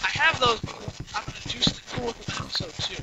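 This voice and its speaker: A man is speaking. Noticeable background noise can be heard. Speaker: gaming video commentator. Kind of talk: post-recorded gameplay commentary. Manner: halting, stuttering. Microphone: cheap quiet mic, heavy noise reduction and amplification.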